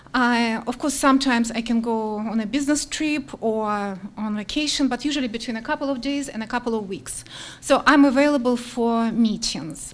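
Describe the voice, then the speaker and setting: A woman speaks with a non-native accent at a fairly high pitch. Her pitch varies in an ordinary way. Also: hardly any pauses. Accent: foreign. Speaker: teacher, applicant for town commission. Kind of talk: public comment. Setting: council meeting. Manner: slow and clear.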